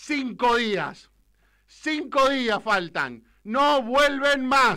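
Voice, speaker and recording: Against a quiet background, a man with an extremely high pitch and a bright, sharp tone uses a raised, projected voice at a very slow pace with ordinary pitch variation. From Argentina. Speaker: political radio commentator. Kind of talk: political rant. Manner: animated. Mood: angry, defiant. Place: studio. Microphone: studio mic.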